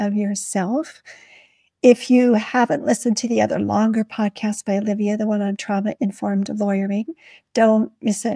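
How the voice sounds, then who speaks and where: A woman with a fairly high pitch and a dark, mellow tone speaks at a moderate pace, somewhat breathy, in a dry, close sound with no echo. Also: very clean recording, silent background. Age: 60s. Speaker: podcast host, nurse and legal consultant. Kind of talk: interview chat.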